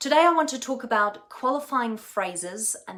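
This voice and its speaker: A woman's lively intonation with a German accent at a moderate pace. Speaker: communication coach. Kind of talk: tutorial.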